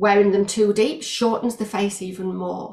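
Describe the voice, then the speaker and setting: A woman's somewhat breathy, fairly high-pitched voice at a fairly slow pace. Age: 50s. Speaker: eyewear stylist and business owner. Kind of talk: interview. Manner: halting, many fillers.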